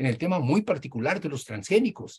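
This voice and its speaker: A man speaks in a somewhat breathy voice at a moderate pace. His pitch is fairly high and swings very widely. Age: 80s+. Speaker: professor and Marxist scholar; professor. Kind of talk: interview discussion, lecture-like explanation. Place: home room. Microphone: video call.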